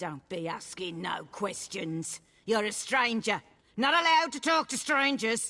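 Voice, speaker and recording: Using a put-on character voice, a woman speaks at a moderate pace, fairly high in pitch and with very wide pitch swings. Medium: video game. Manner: rambling, scatterbrained.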